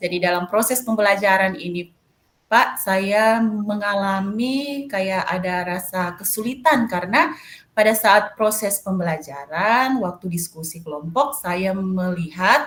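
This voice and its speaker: Pitch variation is ordinary, and the pace is fairly slow. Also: woman, medium pitch for a woman. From Manado, North Sulawesi, Indonesia. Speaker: math teacher. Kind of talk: coaching session. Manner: hesitant, many fillers.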